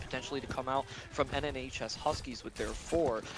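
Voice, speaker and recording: With music in the background, a man talks at a fairly quick pace with fairly even intonation. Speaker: esports caster. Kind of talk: live commentary. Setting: LAN event venue.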